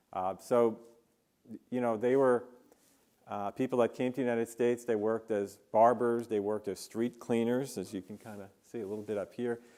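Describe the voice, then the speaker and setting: A man with an American accent talks at a fairly quick pace in a dark, mellow tone. His intonation is monotone and flat. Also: medium pitch for a man. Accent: New York accent, slips in occasionally. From New York, Queens and Long Island. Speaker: engineering professor. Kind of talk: keynote lecture. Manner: many fillers (uh, um).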